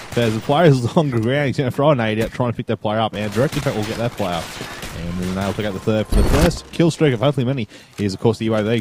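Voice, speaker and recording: There is noticeable background noise as a man speaks very fast with an Australian accent. His pitch is medium and varies in an ordinary way. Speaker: radiographer. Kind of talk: gameplay commentary. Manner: casual, chatty.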